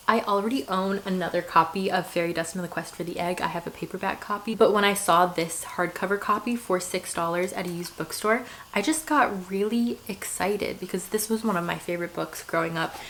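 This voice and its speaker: With noticeable background noise behind, the speaker talks at a fairly quick pace with hardly any pauses and ordinary pitch variation. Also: woman, medium pitch for a woman. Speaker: book reviewer. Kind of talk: casual talk to camera.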